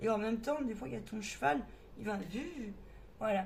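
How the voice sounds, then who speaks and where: A woman speaks in a fairly high voice. Room echo is audible. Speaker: medium giving card readings. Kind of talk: tarot reading monologue. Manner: halting, many fillers.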